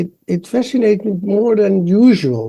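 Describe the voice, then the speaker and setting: A man with a Dutch accent, a dark, mellow tone and lively intonation. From Netherlands. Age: 70s. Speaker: embryologist. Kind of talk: interview.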